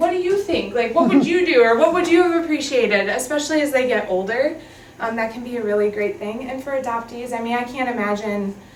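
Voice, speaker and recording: Over noticeable background noise and audible room echo, a woman with an American accent talks very fast in a high pitch with lively intonation. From Minnesota. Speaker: adoption agency worker. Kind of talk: training presentation. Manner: casual, many fillers.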